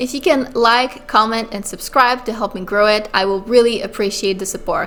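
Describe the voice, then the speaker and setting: Music plays behind a woman speaking at a moderate pace. Her voice is fairly high. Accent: slight French Canadian. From Quebec, Montreal. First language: French. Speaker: illustrator and art business YouTuber. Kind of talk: casual vlog talk to camera.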